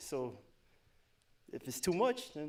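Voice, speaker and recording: A man speaks at a fairly high pitch in an animated tone. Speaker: dating show contestant. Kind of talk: casual chat.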